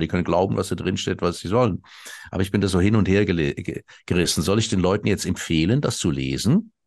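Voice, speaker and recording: Against a quiet background, a man speaks with a very deep, low pitch and vocal fry. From Switzerland. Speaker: satirist and ex-cabaret artist. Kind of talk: interview conversation.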